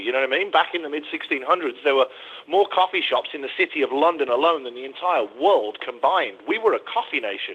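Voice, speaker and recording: Through noticeable background noise, a man with an English accent talks at a fairly quick pace, his pitch swinging very widely. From England. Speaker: coffee shop owner. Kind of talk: interview.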